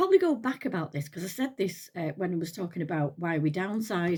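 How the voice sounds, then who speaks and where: In an English accent, a woman speaks at a fairly quick pace in a somewhat breathy voice with very wide pitch swings, on a very clean recording with a silent background. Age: 60s. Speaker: retired nurse, lifestyle vlogger. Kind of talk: casual chat. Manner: halting.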